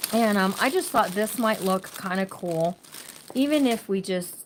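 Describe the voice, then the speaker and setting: A woman talks at a fairly slow pace, her pitch medium with ordinary variation. Noticeable background noise runs underneath. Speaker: crafting channel host. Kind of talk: live-stream craft tutorial. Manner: casual, chatty; loud.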